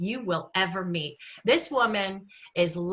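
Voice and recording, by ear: With ordinary pitch variation, someone is reading aloud in a natural voice.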